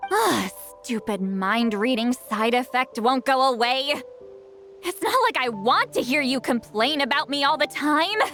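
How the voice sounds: A woman performs a put-on character voice, high-pitched and fairly bright in tone, with lively intonation. She speaks at a fairly slow pace as faint music plays in the background.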